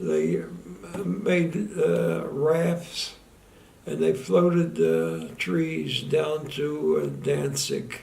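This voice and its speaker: Amid audible room echo, a man speaks very slowly at a medium pitch with very wide pitch swings. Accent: American. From US, Philadelphia. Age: 90s. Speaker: war veteran. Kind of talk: testimony. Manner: halting.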